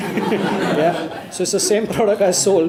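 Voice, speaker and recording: A man is speaking. Music plays in the background. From Gujarat, India. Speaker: businessman. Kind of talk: panel Q&A answers. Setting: university event space with student audience. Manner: conversational, engages audience.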